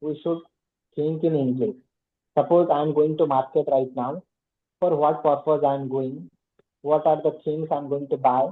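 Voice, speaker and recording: Fairly slow and fairly even in intonation, a man talks with an Odisha accent. His pitch sits fairly high. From India, Odisha. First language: Odia. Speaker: English learner, working professional. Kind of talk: casual conversation practice. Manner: halting, with fillers.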